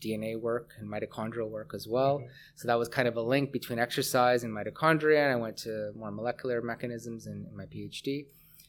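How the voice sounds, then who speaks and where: Speaking at a fairly quick pace with a Canadian accent, this man has an ordinary speaking voice at a medium pitch. His intonation is fairly even, though his loudness swings widely. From Canada, Hamilton, Ontario. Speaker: professor and researcher. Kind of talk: interview.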